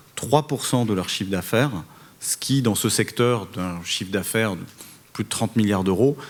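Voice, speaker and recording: In a Parisian accent, a man speaks at a moderate pace and a medium pitch. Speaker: telecom regulator head. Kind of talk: conference panel speech. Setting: conference hall with audience. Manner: hesitant, many fillers and repetitions.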